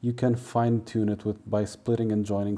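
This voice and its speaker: Fairly low in pitch and dark and mellow in tone, a man speaks at a moderate pace with a Portuguese accent. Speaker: translator. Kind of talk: tutorial. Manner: casual, hesitant with fillers.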